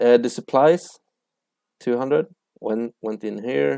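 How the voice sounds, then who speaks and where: Very slowly and at a medium pitch, a man speaks with a dark, mellow tone and ordinary pitch variation. The sound is dry and close with no echo, on a very clean recording with a silent background. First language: not English (English is third language). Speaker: accounting tutor. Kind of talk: tutorial. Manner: hesitant, with fillers and restarts.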